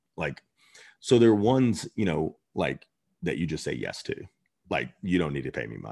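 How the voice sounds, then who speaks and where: A man with an American accent speaks at a moderate pace in a very deep, low pitch with vocal fry, leaving long, frequent pauses. His pitch swings very widely and his loudness shifts a lot. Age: 40s. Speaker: chef and restaurant owner. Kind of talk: interview.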